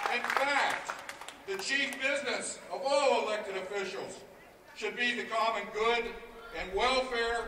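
In a room with audible echo and light background noise, a man projects a raised voice at an extremely high pitch, fairly slow and with ordinary pitch variation. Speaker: union executive director. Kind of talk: impassioned rally speech with rhetorical questions. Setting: outdoors at rally. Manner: indignant, accusatory, repeating questions; formal, oratorical. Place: street.

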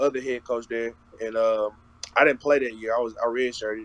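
The sound is dry, with no echo. A man speaks at a fairly quick pace. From Texas. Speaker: college football player. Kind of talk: interview. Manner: casual, lots of filler. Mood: relaxed, casual. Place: home room. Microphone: video call.

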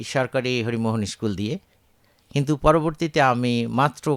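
A man talks at medium pitch with lively intonation. The sound is dry and close, with no echo. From Bangladesh, Chapainawabganj. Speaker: retired agricultural scientist. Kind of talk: radio interview.

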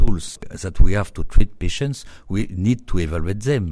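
Speaking fairly slowly with a French accent, a man has a dark, mellow tone and ordinary pitch variation. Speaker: radiology professor. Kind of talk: interview. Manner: hesitant with fillers.

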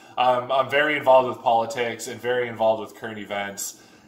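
Audible room echo surrounds the recording. A man talks at a fairly quick pace. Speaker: car vlogger. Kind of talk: casual vlog chat, storytelling. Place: garage.

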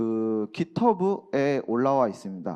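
A man's voice makes very wide pitch swings. The background is quiet. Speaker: aerospace researcher. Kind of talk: conference presentation. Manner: halting, many fillers.

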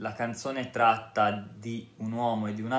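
A man at a fairly low pitch, fairly slow with fairly even intonation, in audible room echo. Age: 30s. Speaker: YouTuber, ex-Jehovah's Witness; vlogger. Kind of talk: casual vlog monologue. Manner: halting. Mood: earnest, calm, persuasive. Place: home room. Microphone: phone near.

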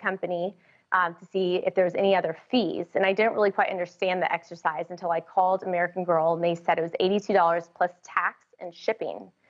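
A woman moves at a fairly quick pace, and the background stays quiet. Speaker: remote podcast guest. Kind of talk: interview answer. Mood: warm, lightly amused. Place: home room. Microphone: video call.

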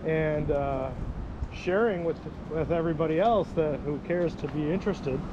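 Dry with no echo, a man speaks at a moderate pace with fairly even intonation amid noticeable background noise. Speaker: hiking vlogger. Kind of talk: casual vlog chat. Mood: cheerful, reflective. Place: waterside. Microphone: phone near.

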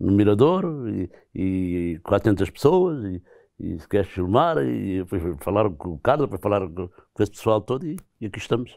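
A man's fairly low, dark and mellow voice, dry with no echo, over a quiet background. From Portugal, Ribatejo; Portugal. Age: 70s. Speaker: retired aircraft mechanic and former taxi driver; interviewee. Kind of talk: interview. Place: studio. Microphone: lapel.

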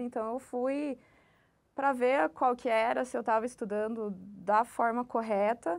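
Over a quiet background, a woman speaks at a high pitch with fairly even intonation. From Curitiba, southern Brazil; Paraná, Brazil. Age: 30s. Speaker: bank employee, successful civil-service exam candidate; candidate. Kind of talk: interview. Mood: calm, reflective. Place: office. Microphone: lapel.

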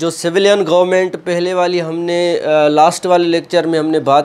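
This man's voice sits at a fairly high pitch with a slightly mellow tone. He moves at a moderate pace with fairly even intonation.

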